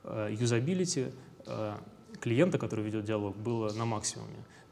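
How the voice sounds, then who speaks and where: The speaker is a man. His pitch is medium. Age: 20s. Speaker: company founder. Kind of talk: interview.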